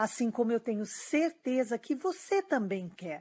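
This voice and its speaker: A woman with a Brazilian accent speaks at a fairly high pitch and fairly slow pace, with very wide pitch swings. The recording is very clean, the background silent. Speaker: dating coach. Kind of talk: sales pitch.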